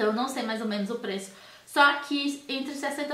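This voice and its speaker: A woman with a high pitch speaks amid audible room echo. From Brazil. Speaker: professional makeup artist and beauty youtuber; beauty vlogger. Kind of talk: product review vlog. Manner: animated.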